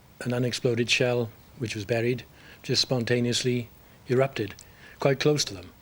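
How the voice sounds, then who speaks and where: A man with a Welsh accent speaks at a moderate pace, with long, frequent pauses and big swings in loudness. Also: medium pitch for a man, fairly even intonation. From South Wales. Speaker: game show contestant. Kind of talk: interview.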